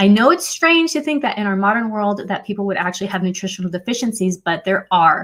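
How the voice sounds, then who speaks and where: A woman talks at a very fast pace with hardly any pauses. Her intonation is lively. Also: medium pitch for a woman. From Puerto Rican heritage. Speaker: fertility educator. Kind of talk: live stream Q&A.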